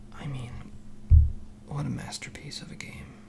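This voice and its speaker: Whispering in a soothing tone, a man speaks over noticeable background noise. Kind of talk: ASMR soft-spoken magazine reading. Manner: soft-spoken, soothing.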